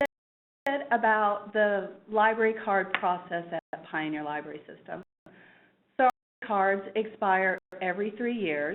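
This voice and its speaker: With a Kansas accent, a woman talks at a fairly slow pace, leaving long, frequent pauses. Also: medium pitch for a woman, ordinary pitch variation. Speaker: library staff member. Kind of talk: webinar presentation. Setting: online webinar.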